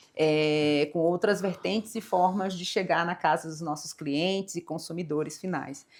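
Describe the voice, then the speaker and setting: This woman speaks with a Brazilian accent at a fairly slow pace, with hardly any pauses, a fairly low pitch and fairly even intonation. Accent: non-São Paulo Brazilian accent, noticeable. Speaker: corporate executive. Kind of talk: interview.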